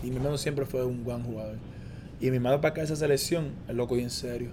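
Audible room echo follows a man talking at a very fast pace. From Puerto Rico (Aguada, Caguas). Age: 20s. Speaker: professional basketball player. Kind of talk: interview.

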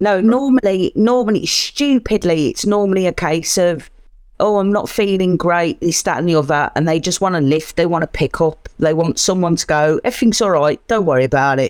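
With a British accent, a woman speaks at a fairly quick pace with lively intonation and very even loudness. The recording is very clean, with a silent background and a dry, close sound with no echo. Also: fairly low pitch for a woman. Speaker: caller, wrestling fan. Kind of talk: casual chat.

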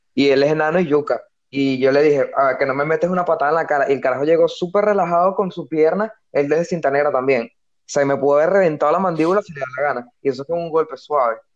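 Talking very fast, a man with a fairly high pitch keeps to ordinary pitch variation. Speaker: podcast co-host. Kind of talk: casual chat. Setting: online call.

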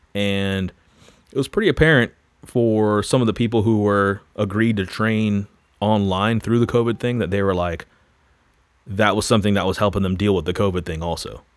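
A man talks in a plain, everyday voice, fairly low in pitch, at a moderate pace. His intonation is fairly even, and the recording is very clean with a silent background. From Florida. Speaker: personal trainer and gym owner, former worship leader. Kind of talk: casual interview chat.

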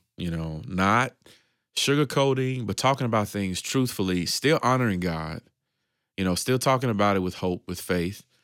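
An unremarkable speaking voice from a man, fairly low in pitch, with lively intonation at a moderate pace, in a very clean recording with a silent background. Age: 30s. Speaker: ministry organization leader. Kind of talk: casual chat.

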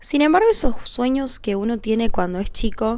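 A woman speaks in a Rioplatense accent. Her pace is fairly slow. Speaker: podcast host. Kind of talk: casual monologue.

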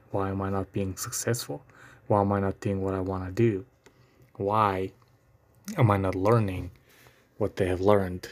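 A man's fairly low voice at a moderate pace. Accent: non-native. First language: not English. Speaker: podcast host. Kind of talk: solo podcast monologue. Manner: halting, hesitant with filler words.

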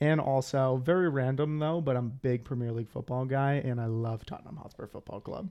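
With an American accent and a plain, everyday voice, a man of medium pitch speaks at a fairly quick pace with ordinary pitch variation and hardly any pauses. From Rhode Island, US. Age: 20s. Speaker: podcast co-host. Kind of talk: casual chat.

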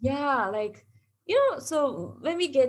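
A woman with a Japanese accent speaks at a moderate pace, her pitch swinging very widely. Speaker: podcast host. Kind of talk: casual chat. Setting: video call.

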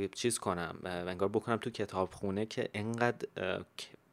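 In a very clean recording with a silent background, a man talks at a fairly quick pace with fairly low pitch and fairly even intonation in an ordinary speaking voice. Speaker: podcast host. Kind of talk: casual chat.

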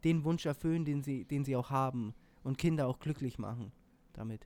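On a very clean recording with a silent background, a man speaks at a fairly quick pace in a dark, mellow tone with ordinary pitch variation. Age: 20s. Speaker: podcast co-host. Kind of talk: casual chat. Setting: studio. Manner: hesitant, many fillers.

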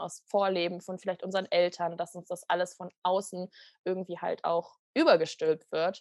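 A woman with a fairly low pitch speaks at a moderate pace with monotone, flat intonation. The sound is dry and close with no echo and a quiet background. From western Germany, near Düsseldorf. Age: 20s. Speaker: coaching program participant. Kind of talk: podcast interview.

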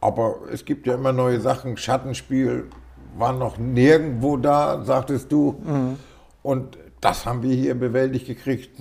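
A man with a northern German accent speaks at a fairly slow pace. His voice is somewhat breathy, with monotone, flat intonation. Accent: northern German, Low German tinge. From northern Germany, Schleswig-Holstein. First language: Low German (speaking German). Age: 60s. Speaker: hobby miller. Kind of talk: interview.

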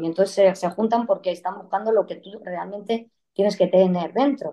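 A woman's unremarkable speaking voice at medium pitch, moderate in pace, with fairly even intonation. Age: 30s. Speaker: guest sharing life story of living with degenerative disease. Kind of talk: interview testimony.

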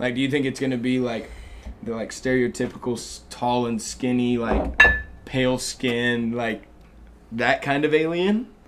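With noticeable background noise, a man speaks in an American accent at a moderate pace, his pitch medium and his intonation fairly even. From Texas, Dallas. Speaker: college student. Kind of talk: casual chat.

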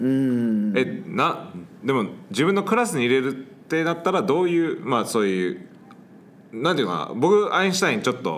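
Audible room echo surrounds a voice with an English accent, moving at a moderate pace through very wide pitch swings. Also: man, fairly high pitch for a man. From Hawaii. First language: English (speaking Japanese). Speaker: English teacher and podcast host. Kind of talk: casual interview chat. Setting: sharing one microphone in a studio.

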